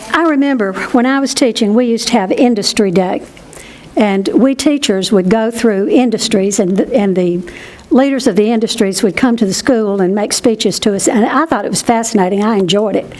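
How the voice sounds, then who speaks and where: A fairly high female voice in an American accent, at a fairly quick pace, with ordinary pitch variation, very even loudness and noticeable background noise. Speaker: historian. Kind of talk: q and a.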